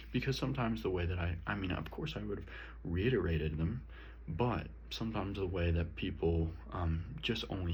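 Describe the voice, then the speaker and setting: A man talks at a moderate pace in a very deep, low pitch with vocal fry. Room echo is audible. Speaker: student. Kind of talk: self-reflection monologue. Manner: loud.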